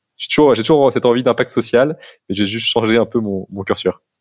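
Captured with a dry, close sound and no echo, a man with a plain, everyday voice talks at a fairly quick pace with ordinary pitch variation. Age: 30s. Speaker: social entrepreneur. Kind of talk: casual interview. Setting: remote call.

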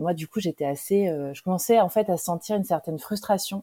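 The voice has a dark, mellow tone and ordinary pitch variation. The recording is very clean with a silent background, and the sound is dry and close with no echo. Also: woman. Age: 40s. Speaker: digital marketing trainer and coach. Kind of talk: interview testimony. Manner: halting.

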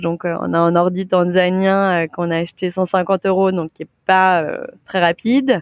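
A woman with a normal speaking voice, medium pitch and a fairly slow pace, in a dry, close sound with no echo. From France, Saint-Étienne. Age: 30s. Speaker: co-founder of a premarital preparation service. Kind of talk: interview.

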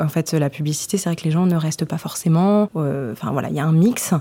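Over noticeable background noise, a woman speaks with a fairly low pitch and fairly even intonation. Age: 20s. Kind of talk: podcast testimony. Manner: hesitant, many fillers.

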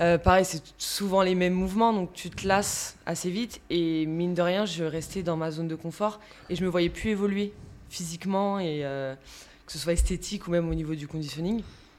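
A woman with a fairly low pitch and fairly even intonation, at a moderate pace, an ordinary speaking voice. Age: 30s. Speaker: fitness coach. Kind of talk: casual interview.

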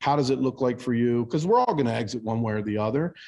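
A man with an American accent talks at a medium pitch in a dark, mellow tone with ordinary pitch variation against a quiet background. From Baltimore, US. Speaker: business coaching executive, former auto mechanic. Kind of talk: podcast interview.

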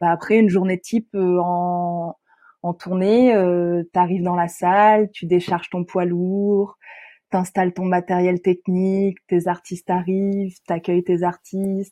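Flat, monotone intonation from a woman at medium pitch, her tone dark and mellow. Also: fairly slow pace. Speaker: tour manager. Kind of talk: interview. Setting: remote recording.

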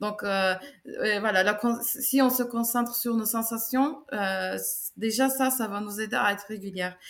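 The speaker, with a Turkish accent, goes at a fairly slow pace with fairly even intonation and long, frequent pauses. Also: woman, fairly high pitch for a woman. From Turkey, Istanbul. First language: Turkish (speaking French). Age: 30s. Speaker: sports coach. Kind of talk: testimony and advice interview.

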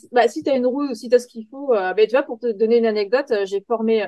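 A woman at a fairly high pitch and a very fast pace. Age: 30s. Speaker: software tester and rally navigator. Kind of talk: interview.

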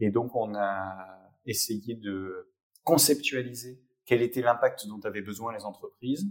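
At a very slow pace, a man speaks at medium pitch with ordinary pitch variation and big swings in loudness. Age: 30s. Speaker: HR director and digital learning expert. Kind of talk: interview.

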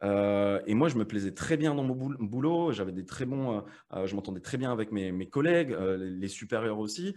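A man's fairly low voice with lively intonation at a moderate pace. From France, Metz (Lorraine). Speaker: affiliate marketing entrepreneur and coach. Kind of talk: casual interview chat. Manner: hesitant, many fillers and repetitions.

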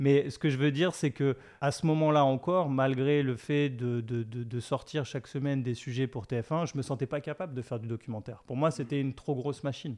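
Hardly pausing at all, a man talks with fairly even intonation. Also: medium pitch for a man. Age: 40s. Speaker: documentary filmmaker. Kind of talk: interview. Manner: halting, frequent repetitions.

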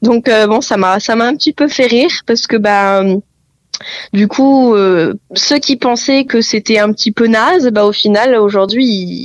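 With an unremarkable speaking voice, a woman talks at a fairly high pitch and fairly slow pace, with ordinary pitch variation, very even loudness, and a dry, close sound with no echo. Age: 20s. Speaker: real estate agent. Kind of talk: interview.

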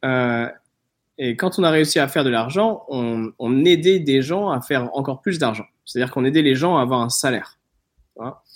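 On a very clean recording with a silent background, a man with an unremarkable speaking voice talks at a moderate pace in a medium pitch. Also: ordinary pitch variation. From southern France, near Nice. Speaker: startup founder and investor. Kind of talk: interview.

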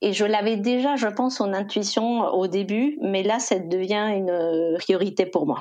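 A woman talks at a fairly slow pace with hardly any pauses. Her tone is dark and mellow, and her loudness stays very even. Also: medium pitch for a woman, ordinary pitch variation. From Costa Rica. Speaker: e-commerce executive. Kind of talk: interview.

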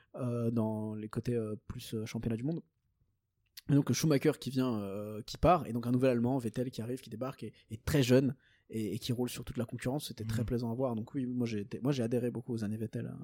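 Recorded dry and close with no echo, a man speaks fairly quickly in a dark, mellow, medium-pitched voice with fairly even intonation. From Belgium. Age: 20s. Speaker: podcast co-host. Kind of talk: casual chat. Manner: halting.

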